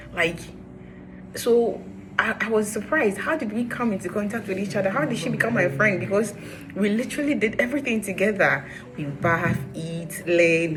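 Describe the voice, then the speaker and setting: Music plays in the background as a woman with an animated tone talks at medium pitch, with audible room echo. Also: lively intonation, moderate pace. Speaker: vlogger. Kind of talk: personal vlog storytelling. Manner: loud.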